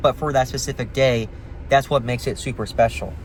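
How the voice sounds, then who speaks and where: A man speaks at a very fast pace in a medium-pitched voice. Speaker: vlogger. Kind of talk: casual monologue.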